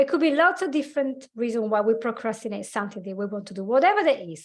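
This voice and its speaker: Against a quiet background, a woman speaks with an Italian accent at a fairly high pitch. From Italy. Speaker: life coach and hypnotherapist. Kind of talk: podcast interview. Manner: halting.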